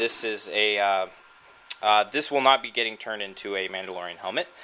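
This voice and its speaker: Noticeable background noise sits behind this man. He speaks at a moderate pace with an American accent. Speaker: cosplay hobbyist. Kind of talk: tutorial. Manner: halting, many fillers.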